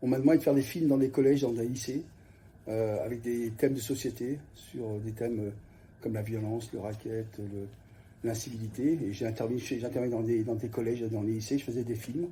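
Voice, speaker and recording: A man speaks fairly quickly at a medium pitch, his tone dark, mellow and somewhat breathy. His intonation stays fairly even, and audible room echo is present. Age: 60s. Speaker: youth guidance counsellor, former journalist. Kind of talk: interview. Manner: halting, many hesitations.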